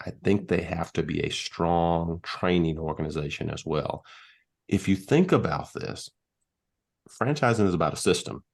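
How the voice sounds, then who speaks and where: Against a quiet background, a man with an American accent speaks at a moderate pace. His very deep, low pitch carries lively intonation. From US South, Mississippi. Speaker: business executive. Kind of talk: podcast interview. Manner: articulate.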